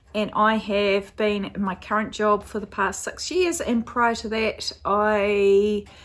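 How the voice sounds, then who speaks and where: In a very clean recording with a silent background, a woman with a New Zealand accent talks at a fairly slow pace, her fairly high pitch following a fairly even intonation. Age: 40s. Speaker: crafting podcaster. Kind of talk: casual vlog chat. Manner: casual, hesitant with fillers.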